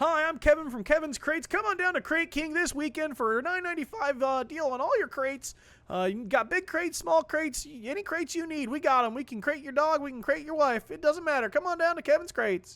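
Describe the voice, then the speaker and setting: Using a put-on character voice, a man speaks at a very fast pace with an extremely high pitch. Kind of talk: sales pitch. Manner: cheesy, salesy.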